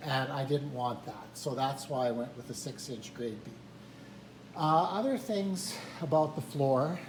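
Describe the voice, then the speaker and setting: A man's fairly high voice at a fairly slow pace, with audible room echo. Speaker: hobby woodworker and retired teacher. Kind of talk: tutorial. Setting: workshop. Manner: hesitant, filler words.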